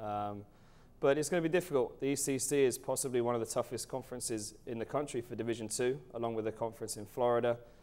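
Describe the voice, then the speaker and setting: The speech runs at a very fast pace with ordinary pitch variation. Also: man, medium pitch for a man. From England. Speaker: college soccer coach. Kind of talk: interview. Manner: hesitant, many fillers.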